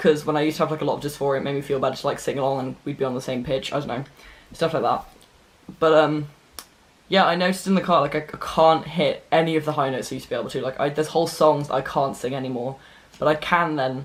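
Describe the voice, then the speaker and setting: The speech runs at a very fast pace with fairly even intonation over noticeable background noise. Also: man, fairly high pitch for a man. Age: young. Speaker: vlogger. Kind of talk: casual chat. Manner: halting.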